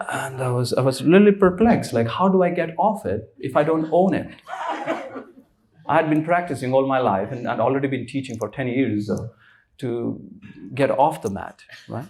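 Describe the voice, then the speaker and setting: A man with an Indian accent speaks at a moderate pace and medium pitch, with lively intonation. He takes long, frequent pauses. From India, Rishikesh. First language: Hindi. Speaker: spiritual teacher. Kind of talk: casual interview conversation.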